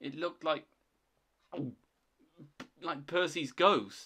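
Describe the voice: Putting on a character voice, a man speaks very slowly in a shaky, fairly high-pitched voice with a bright, sharp tone and ordinary pitch variation.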